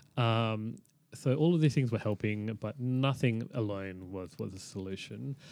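Recorded very cleanly against a silent background, this man with an Australian accent talks at a fairly slow pace with ordinary pitch variation. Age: 30s. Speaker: chronic pelvic pain patient. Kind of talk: interview. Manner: halting.

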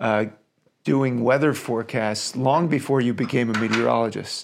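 In a very clean recording with a silent background, a man with a plain, everyday voice speaks at a moderate pace and medium pitch, with ordinary pitch variation. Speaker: podcast host. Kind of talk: interview conversation.

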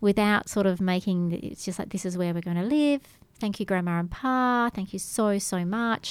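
A woman with an Australian accent, medium pitch, and ordinary pitch variation. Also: moderate pace. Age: 50s. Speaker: yoga instructor. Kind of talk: radio interview. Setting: radio studio.

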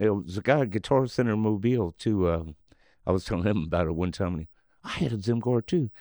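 A man with an American accent talks at a very fast pace in a fairly low pitch, with ordinary pitch variation and a dark, mellow tone. The sound is dry and close with no echo, over a quiet background. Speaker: singer and former bar owner. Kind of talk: casual interview storytelling. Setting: studio.

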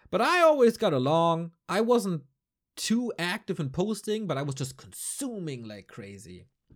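A man with a German accent, high pitch and very wide pitch swings, in a very clean recording with a silent background. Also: moderate pace. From northern Germany. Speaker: esports podcaster and caster. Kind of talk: solo casual monologue. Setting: home recording at night.

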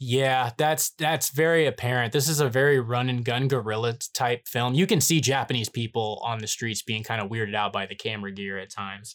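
In a normal speaking voice, a man talks at a fairly quick pace with medium pitch and ordinary pitch variation, the sound dry and close with no echo. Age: 30s. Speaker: podcast co-host, filmmaker. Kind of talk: casual chat.

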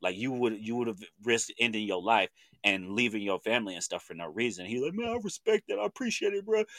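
With an American accent, a man talks at a very fast pace in a dry, close sound with no echo, on a very clean recording with a silent background. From Oklahoma (Chandler, Lincoln County). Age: 30s. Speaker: podcast host. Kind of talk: casual chat.

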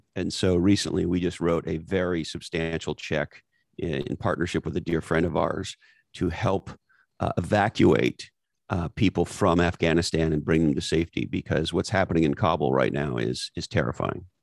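A man with a very deep, low voice and vocal fry is heard in a dry, close sound with no echo. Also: ordinary pitch variation, moderate pace, very clean recording, silent background. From Canada, Montreal area. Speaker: author and former marketing executive. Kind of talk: interview. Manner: animated.

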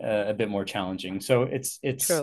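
A man with a Canadian accent has a plain, everyday voice and speaks at a moderate pace. His pitch variation is ordinary, and the background is quiet. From Canada, Vancouver area (Richmond, BC). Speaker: airport executive, former accountant. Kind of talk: casual interview.

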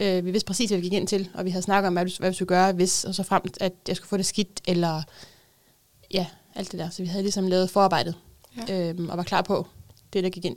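A woman with a medium pitch talks very fast in monotone, flat intonation, broken by long, frequent pauses. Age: 30s. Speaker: mother with a psychiatric diagnosis. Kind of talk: casual chat. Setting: studio.

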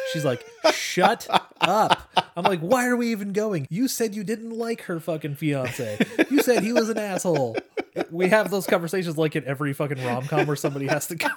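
Talking at a fairly quick pace, a man with a high voice swings his pitch very widely. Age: 30s. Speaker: podcast co-host. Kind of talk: casual chat.

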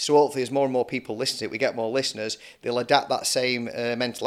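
A man with a Lancashire accent, medium pitch, flat monotone delivery, very fast pace. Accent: Lancashire (Bolton) English. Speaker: podcast host, plumbing and heating business owner. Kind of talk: casual interview chat.

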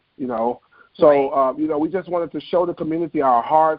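A man with a Memphis accent, fairly high in pitch, fairly quick in pace and fairly even in intonation. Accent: Southern US (Memphis). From US South, Memphis, Tennessee. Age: 30s. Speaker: chef, food truck owner. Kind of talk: interview.

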